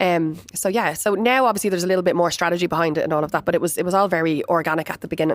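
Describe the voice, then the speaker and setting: With a Dublin accent, a woman speaks very fast with hardly any pauses, at a fairly low pitch. Her loudness stays very even, and her pitch varies in an ordinary way. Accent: Irish (Dublin). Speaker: florist and business founder. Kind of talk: interview. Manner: loud and chatty; animated.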